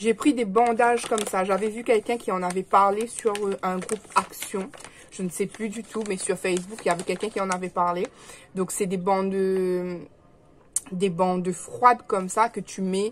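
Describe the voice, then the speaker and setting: A woman speaks at a medium pitch and moderate pace. Her intonation is fairly even, with noticeable background noise behind her. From Réunion. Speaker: vlogger. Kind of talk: casual vlog chat. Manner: hesitant, many fillers; speaking softly.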